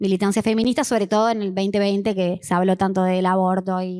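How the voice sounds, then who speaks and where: A woman in a Cordoba Argentine accent talks at a fairly quick pace. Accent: Cordoba accent, Argentina. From Argentina, Córdoba. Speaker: history teacher and online history communicator. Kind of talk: conference panel talk. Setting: conference with audience. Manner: hesitant, many fillers.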